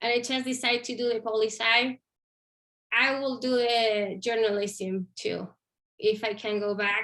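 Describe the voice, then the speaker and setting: A woman's fairly high, bright, sharp voice, flat and monotone, at a fairly slow pace. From Chile, Santiago. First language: Spanish. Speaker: Spanish instructor. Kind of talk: career interview.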